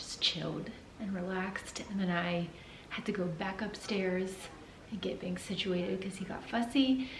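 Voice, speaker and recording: A woman with a medium-pitched voice talks through noticeable background noise and audible room echo. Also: ordinary pitch variation, moderate pace. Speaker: vlogger. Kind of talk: casual chat.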